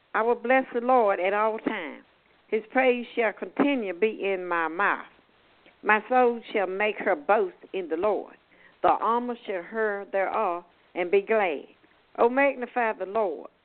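A woman's plain, everyday voice, fairly high-pitched, with ordinary pitch variation and a fairly slow pace. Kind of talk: reading scripture aloud. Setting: phone call.

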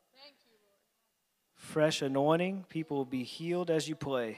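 With fairly even intonation, a man talks at a fairly slow pace and leaves long, frequent pauses. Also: big swings in loudness. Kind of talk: sermon with altar-call prayer. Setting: church with live congregation and online stream.

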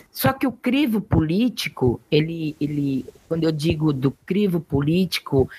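A woman speaks at a fairly low pitch with very wide pitch swings. The sound is dry and close, with no echo. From Brazil, São Paulo coast (Mongaguá). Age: 50s. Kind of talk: interview. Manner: halting, with frequent repetitions.

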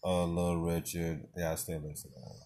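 The tone is dark and mellow, with fairly even intonation. The pace is moderate. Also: man. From Nashville, Tennessee, US South. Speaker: podcast host. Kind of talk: casual chat.

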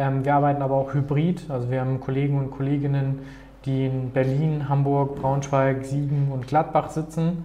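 A man's fairly high voice in a flat monotone at a moderate pace, with audible room echo and noticeable background noise. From Germany, Paderborn. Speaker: startup founder. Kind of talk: interview.

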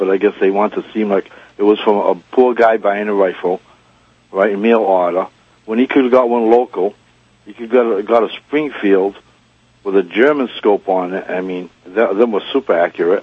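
A man speaks in a plain, everyday voice, fairly low in pitch, with fairly even intonation and a fairly quick pace. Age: 50s. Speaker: gunsmith, radio caller. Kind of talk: call-in conversation.

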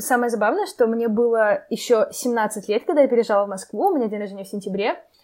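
Talking very fast with hardly any pauses, a woman uses a fairly high pitch. Her pitch variation is ordinary. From Arkhangelsk, northern Russia. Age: 20s. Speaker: university student. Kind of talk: casual interview.

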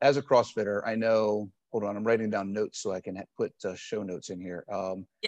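A man talks at a fairly quick pace with hardly any pauses, his fairly low pitch following a fairly even intonation while his loudness swings widely. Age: 40s. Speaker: podcast host and fitness coach. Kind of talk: casual interview. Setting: gym.

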